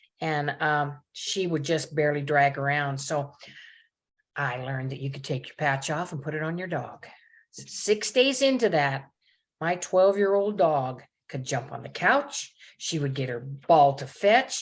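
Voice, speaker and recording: A woman talks at a fairly slow pace in a very deep, low voice with ordinary pitch variation. Her loudness swings widely over a quiet background. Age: 70s. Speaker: nurse and naturopath giving a product testimonial. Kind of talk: testimony.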